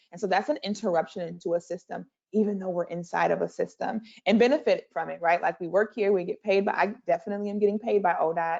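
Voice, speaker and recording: A woman speaks at a very fast pace. Her voice has vocal fry. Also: medium pitch for a woman, ordinary pitch variation. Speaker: transportation equity official. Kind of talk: seminar presentation.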